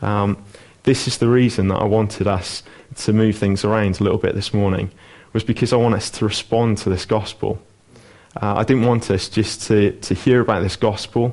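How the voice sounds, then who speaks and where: A man speaks with a fairly low pitch. His intonation is monotone and flat. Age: 20s. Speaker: lay preacher. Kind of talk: sermon. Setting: church.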